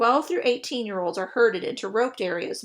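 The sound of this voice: The clip has an unforced reading voice with ordinary pitch variation.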